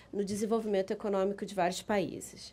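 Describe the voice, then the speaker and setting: Dark and mellow in tone, a woman speaks at a medium pitch. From Brazil. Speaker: business council director, lawyer. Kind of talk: conference presentation. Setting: conference with audience. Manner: halting.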